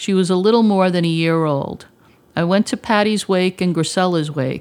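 At a moderate pace and with ordinary pitch variation, an ordinary speaking voice comes through on a very clean recording with a silent background. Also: woman. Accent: American. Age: 50s. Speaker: mental health advocate. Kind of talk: prepared testimony presentation.

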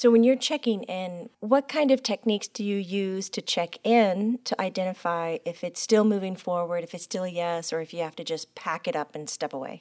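A woman with a plain, everyday voice talks at a moderate pace and medium pitch, with hardly any pauses. Her intonation is lively, her loudness swings widely, and the recording is very clean, dry and close, with a silent background and no echo. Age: 40s. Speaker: podcast host and medium. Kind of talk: casual chat.

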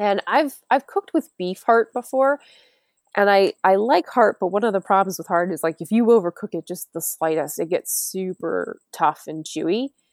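A woman's unremarkable speaking voice with an American accent, medium pitch, lively intonation, and a moderate pace, in a dry, close sound with no echo. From New York. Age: 40s. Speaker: hunter and forager. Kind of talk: casual chat.

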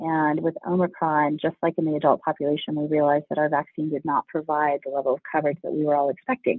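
A man talks at a fast pace, fairly high in pitch with a slightly husky edge. The sound is dry and close, with no echo.

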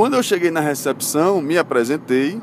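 Lively intonation from a man at a fairly high pitch, moderate pace, with noticeable background noise. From Brazil, Recife (Pernambuco). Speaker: lawyer and podcast host. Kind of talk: solo storytelling podcast. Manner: casual, conversational.

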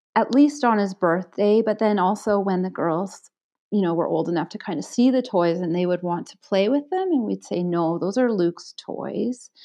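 A woman talks in an ordinary speaking voice. Her pitch is medium, with ordinary pitch variation. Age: 40s. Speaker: librarian. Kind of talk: interview.

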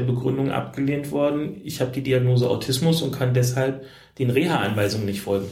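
A man's voice shows ordinary pitch variation, with audible room echo in the recording. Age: 40s. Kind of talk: interview. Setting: hotel room.

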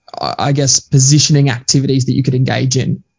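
A man's fairly high, somewhat breathy voice with an Australian accent at a fairly quick pace. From Queensland, Australia. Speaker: leadership coach and author. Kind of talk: podcast interview.

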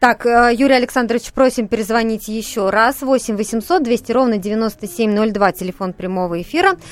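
A woman with a plain, everyday voice, fairly high in pitch with ordinary pitch variation, keeps a moderate pace with hardly any pauses. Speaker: radio host. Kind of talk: live call-in radio talk. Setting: studio.

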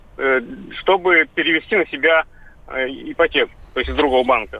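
With a fairly high pitch, this man speaks at a fairly quick pace. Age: 30s. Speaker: radio caller. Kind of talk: call-in question.

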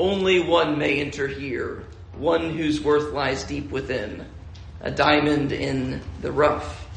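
Bellowing in a booming put-on character voice, a man speaks at a fairly high pitch and a fairly slow pace, with a slight echo. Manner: grand, commanding.

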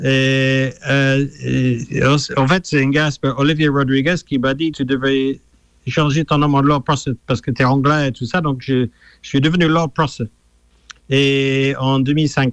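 A man speaks very slowly with an English accent, his fairly high voice held at a very even loudness and a monotone, flat intonation. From England. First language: English (speaking French). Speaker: musician. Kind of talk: radio interview.

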